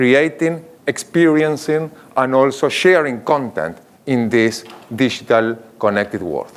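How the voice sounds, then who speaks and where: Fairly slow, lively speech from a man with a fairly high pitch and an Argentinian accent. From Argentina. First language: Spanish. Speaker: marketing executive. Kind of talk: conference keynote.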